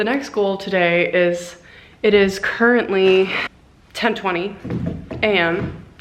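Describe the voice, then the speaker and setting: A woman of medium pitch talks at a very slow pace with fairly even intonation and long, frequent pauses, amid noticeable background noise and audible room echo. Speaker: professional swimmer vlogger. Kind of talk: casual travel vlog. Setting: airport.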